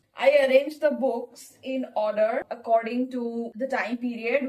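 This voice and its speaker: A woman's high voice with a Bengali accent and fairly even intonation. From India, Bengali-speaking. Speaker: book vlogger. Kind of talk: casual vlog narration.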